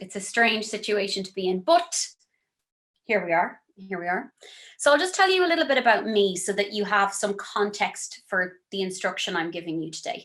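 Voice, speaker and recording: At a moderate pace, the speaker uses lively intonation with a western Irish accent. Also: woman, medium pitch for a woman, big swings in loudness. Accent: Irish (west of Ireland). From Ireland, County Galway (west of Ireland). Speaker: singer-songwriter and vocal workshop teacher. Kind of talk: workshop lecture. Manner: casual, chatty.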